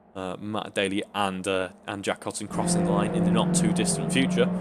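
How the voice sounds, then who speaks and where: A man mumbles at a fairly quick pace with a British accent. His pitch swings very widely. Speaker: sim racing commentator. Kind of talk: live commentary. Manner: mumbling; animated.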